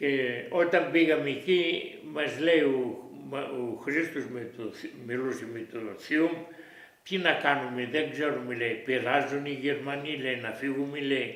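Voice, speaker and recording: Amid noticeable background noise and audible room echo, a man with a fairly high pitch and ordinary pitch variation speaks at a very slow pace. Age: 90s. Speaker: war witness. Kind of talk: oral history interview. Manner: halting.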